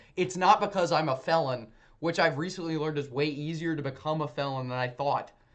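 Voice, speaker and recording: Against a quiet background, a man with an American accent and a plain, everyday voice talks at a fairly quick pace with a fairly high pitch and ordinary pitch variation. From US South. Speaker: streamer. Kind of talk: casual livestream chat. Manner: rambling, with frequent self-corrections.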